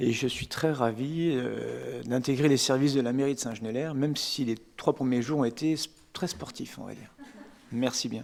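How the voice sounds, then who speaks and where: A man's medium-pitched voice keeps a fairly even intonation and moves at a moderate pace. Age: 40s. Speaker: municipal general manager. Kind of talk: self-introduction at council meeting. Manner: hesitant, many filler words.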